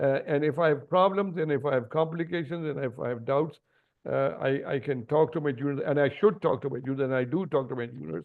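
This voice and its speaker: Very fast male speech at a fairly high pitch with ordinary pitch variation. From Pakistan. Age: 70s. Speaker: senior neurosurgeon. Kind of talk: webinar interview. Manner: halting, many fillers.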